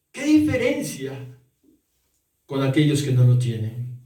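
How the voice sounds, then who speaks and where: There's audible room echo as a man speaks at a very slow pace. His pitch swings very widely. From Peru, Arequipa. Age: 60s. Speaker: pastor. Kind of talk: sermon.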